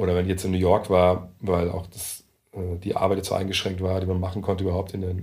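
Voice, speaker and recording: At a very fast pace, a man with a very deep, low pitch, a dark, mellow tone and a somewhat breathy voice speaks with audible room echo. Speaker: NBA journalist. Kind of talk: casual chat. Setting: meeting room in coworking space.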